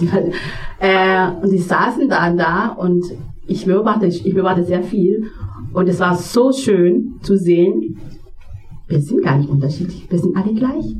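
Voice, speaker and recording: Speaking at a fairly slow pace with long, frequent pauses, a woman uses lively intonation, medium pitch and very even loudness. Music plays in the background, and the room echo is audible. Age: 40s. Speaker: church member. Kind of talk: church service interview. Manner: halting.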